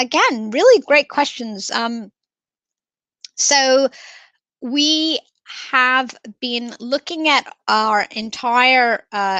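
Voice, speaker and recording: A woman with an American accent projects a raised voice at a high pitch. She goes at a very slow pace, and the sound is dry and close with no echo. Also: ordinary pitch variation. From United States. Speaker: professional standards director presenting a webinar. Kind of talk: webinar Q&A. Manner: hesitant, many fillers.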